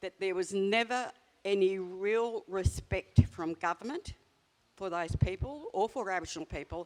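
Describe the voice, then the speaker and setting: In an Australian accent, a woman speaks at a moderate pace and medium pitch with ordinary pitch variation. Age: 70s. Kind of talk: panel discussion.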